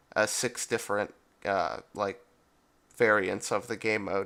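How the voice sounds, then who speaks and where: The tone is bright and sharp, with vocal fry throughout. The recording is very clean, with a silent background. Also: man. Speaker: gaming YouTuber. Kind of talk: casual gaming commentary. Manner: hesitant, many fillers.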